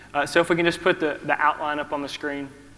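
Bright and sharp in tone, a man with a fairly high pitch speaks in a Southern US accent. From US South. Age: 30s. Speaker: preacher. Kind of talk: sermon. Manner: halting.

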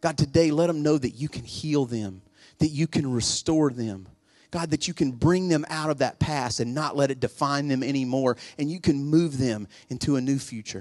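A man with a plain, everyday voice speaks at a moderate pace, fairly high in pitch with ordinary pitch variation. The background is quiet. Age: 40s. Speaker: pastor. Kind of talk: sermon. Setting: church with congregation. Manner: urgent, fervent preacher in full flow, pleading altar call; casual, conversational, self-deprecating and humorous.

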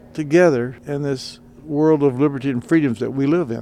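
Music plays behind a man at a medium pitch. He talks at a moderate pace with fairly even intonation. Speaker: retired army colonel, war veteran. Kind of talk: interview.

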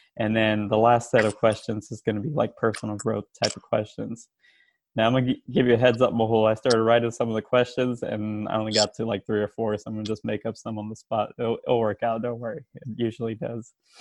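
A man's medium-pitched, monotone, flat voice at a very fast pace, with big swings in loudness. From San Francisco Bay Area. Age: 30s. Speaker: podcast co-host, health coach. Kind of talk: casual chat.

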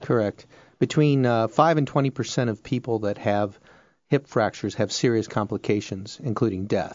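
He speaks at a moderate pace in a plain, everyday voice. The man's pitch is medium and varies in an ordinary way. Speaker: radiologist. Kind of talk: radio interview.

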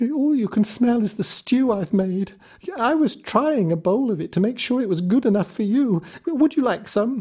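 A man puts on a character voice, pitched high, and speaks at a moderate pace. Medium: read story. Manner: hushed, nervous.

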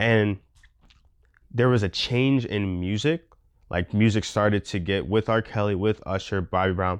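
A man with a fairly low pitch and ordinary pitch variation speaks at a moderate pace with long, frequent pauses, in a quiet background with a dry, close sound and no echo. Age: 20s. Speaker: podcast host. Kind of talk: solo commentary monologue. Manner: halting, many fillers.

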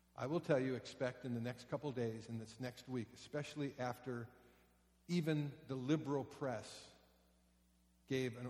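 At a moderate pace, a man talks in a somewhat breathy voice of medium pitch. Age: 60s. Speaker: pastor. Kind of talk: sermon. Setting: church. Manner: animated.

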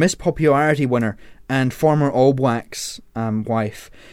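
This is an unremarkable speaking voice at a fairly slow pace. Its pitch varies in an ordinary way. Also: man. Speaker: radio presenter. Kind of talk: radio DJ patter, casual on-air banter with co-hosts, introducing songs and the panel. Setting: radio studio. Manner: chatty and self-correcting, stumbles and laughs at his own slips, easygoing and jokey; informal, rambling asides, teasing co-hosts.

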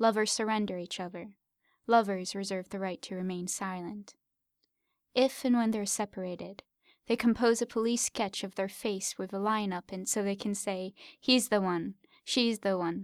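Recorded very cleanly against a silent background, a woman with an unremarkable speaking voice talks at a moderate pace and medium pitch, with fairly even intonation and a dry, close sound with no echo. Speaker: podcast host. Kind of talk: poetry reading, performed aloud.

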